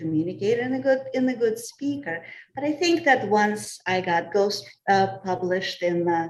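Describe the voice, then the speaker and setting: With a Russian accent, a woman talks at a moderate pace in a medium pitch, her intonation lively. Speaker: communications professional. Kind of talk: panel discussion.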